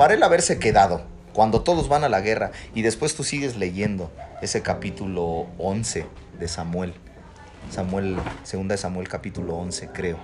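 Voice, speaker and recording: Noticeable background noise sits behind a man with a fairly low pitch. He uses lively intonation at a moderate pace, with long, frequent pauses. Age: 30s. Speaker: pastor. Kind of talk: casual chat.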